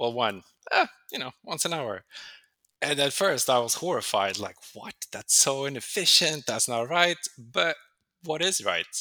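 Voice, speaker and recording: Talking with a Swedish accent, a man moves at a moderate pace. His intonation is lively. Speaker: tech program manager. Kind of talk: interview. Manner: casual.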